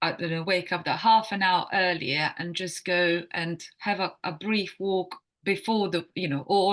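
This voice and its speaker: Speaking at a fairly slow pace, a woman with a Croatian accent leaves hardly any pauses. Her pitch is medium and her intonation fairly even. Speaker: wellness coach. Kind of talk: podcast interview. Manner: halting.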